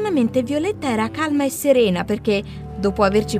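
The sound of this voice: The delivery is an unforced reading voice.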